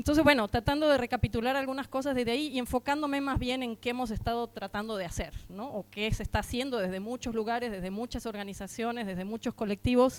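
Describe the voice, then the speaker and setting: A woman's high-pitched voice at a very fast pace, with hardly any pauses. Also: ordinary pitch variation. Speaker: housing rights activist. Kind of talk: conference talk. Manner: hesitant fillers.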